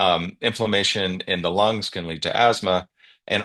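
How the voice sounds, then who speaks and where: A man's bright, sharp tone at a moderate pace, fairly even in intonation, over a quiet background. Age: 60s. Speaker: guest sharing health experience. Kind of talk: testimony on video call. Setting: video call.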